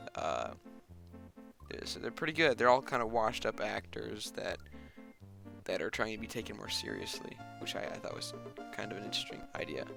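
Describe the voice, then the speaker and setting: Music plays in the background as a man speaks fairly quickly. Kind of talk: casual movie review voice-over. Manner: hesitant, many filler words.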